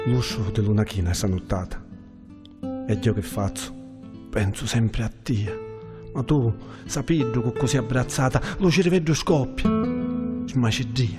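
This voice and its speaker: Over music in the background, a man talks at a fairly slow pace with long, frequent pauses. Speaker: poet. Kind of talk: poetry reading.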